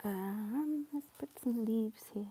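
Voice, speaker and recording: Very slow, mumbled speech in a relaxed tone. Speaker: watercolour painting livestreamer. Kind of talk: live painting demonstration, casual. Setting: live stream. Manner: mumbling; relaxed, thinking aloud.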